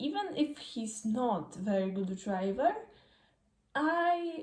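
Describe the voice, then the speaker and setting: Very slowly, a woman with a Polish accent speaks in a dark, mellow, somewhat breathy tone. Her intonation is lively. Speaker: F1 fan vlogger. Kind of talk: casual vlog commentary. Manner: halting, many fillers.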